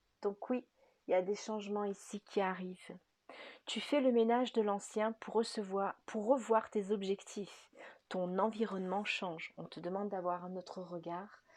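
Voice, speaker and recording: Soft-spoken and medium in pitch, a woman talks at a fairly slow pace. Her loudness swings widely. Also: fairly even intonation. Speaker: spiritual guidance artist and energy healer. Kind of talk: spiritual guidance reading. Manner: slow, hesitant with fillers.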